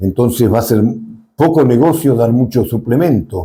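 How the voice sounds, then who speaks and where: A man's medium-pitched voice with a dark, mellow tone, lively intonation and a moderate pace. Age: 70s. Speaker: dairy extension agronomist. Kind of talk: interview.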